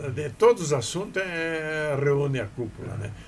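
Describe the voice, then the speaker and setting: A man speaks in a fairly high pitch. Noticeable background noise runs underneath. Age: 80s+. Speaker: businessman. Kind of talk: interview. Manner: halting.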